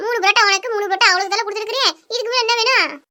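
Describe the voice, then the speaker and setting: In a squeaky, cartoonish character voice, a woman speaks very fast at an extremely high pitch, her intonation fairly even. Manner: complaining, practical.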